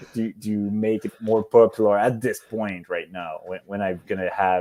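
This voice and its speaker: With a Quebec accent, a man speaks at a fairly low pitch in a dark, mellow tone. His pace is moderate and his intonation fairly even. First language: French. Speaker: competitive rifle shooter. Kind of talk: podcast interview. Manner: halting, searching for words.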